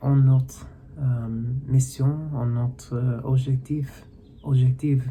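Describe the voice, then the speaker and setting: A man's medium-pitched, monotone, flat delivery at a very slow pace, broken by long, frequent pauses. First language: English (speaking French). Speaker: video blogger, language learner. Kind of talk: personal reflective monologue. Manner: halting, many hesitations and restarts.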